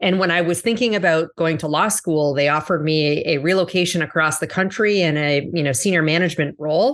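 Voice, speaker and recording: An ordinary speaking voice from a woman, fairly low in pitch, fairly quick with hardly any pauses, very even loudness, ordinary pitch variation, quiet background. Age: 40s. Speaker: corporate executive. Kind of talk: interview.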